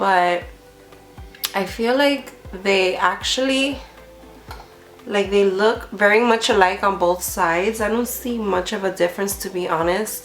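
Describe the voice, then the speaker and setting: A woman at a medium pitch and fairly slow pace with ordinary pitch variation, long and frequent pauses, audible room echo and noticeable background noise. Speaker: beauty vlogger. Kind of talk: product review vlog. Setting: home filming at night, lights lowered. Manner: casual, filler-heavy.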